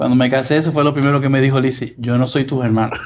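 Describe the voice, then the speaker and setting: With a Puerto Rican accent, a man speaks at a fairly high pitch with fairly even intonation. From Puerto Rico (Arecibo). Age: 60s. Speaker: music producer. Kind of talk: interview.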